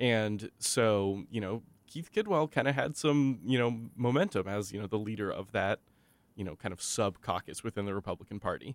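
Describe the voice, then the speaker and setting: In a very clean, silent recording with a dry, close sound and no echo, a man with a plain, everyday voice speaks at a moderate pace and a fairly low pitch. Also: ordinary pitch variation. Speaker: political reporter. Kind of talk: radio news roundup.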